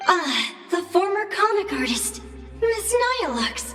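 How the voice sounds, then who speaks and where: In a put-on character voice with an extremely high pitch, the speaker goes at a fairly slow pace, with clear echo and clear music in the background. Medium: video game. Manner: polite yet mischievous, speaks of self in third person.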